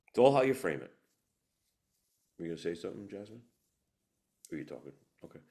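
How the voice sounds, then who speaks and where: A man's fairly low, dark and mellow voice with vocal fry, very wide pitch swings, big swings in loudness, a very fast pace and long, frequent pauses. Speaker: real estate team leader and coach. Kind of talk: sales training session with role-play.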